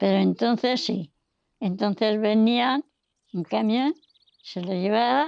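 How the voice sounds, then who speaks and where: A woman speaks at a very slow pace with long, frequent pauses. Her fairly high voice shows ordinary pitch variation in a dry, close sound with no echo. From Serrada de la Fuente, Sierra Norte of Madrid, Spain. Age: 80s+. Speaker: elderly villager sharing rural memories. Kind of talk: oral history testimony.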